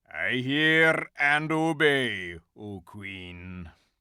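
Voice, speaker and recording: Here is a put-on character voice. It growls. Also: man, medium pitch for a man. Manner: growling.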